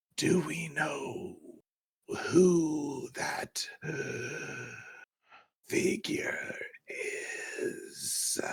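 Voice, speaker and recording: In a put-on character voice, someone growls at a very slow pace with long, frequent pauses. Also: man. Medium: actual play. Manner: polite, formal address.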